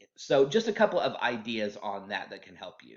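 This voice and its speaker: In an American accent, a man speaks with very wide pitch swings. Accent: Oklahoma accent, comes out at times. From Oklahoma. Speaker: HR staff member. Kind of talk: informal workplace talk. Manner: halting, many fillers and repeats.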